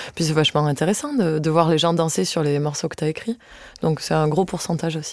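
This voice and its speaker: Very fast in pace, a woman speaks in a very deep, low pitch with ordinary pitch variation. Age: 20s. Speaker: accordionist. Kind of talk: casual interview.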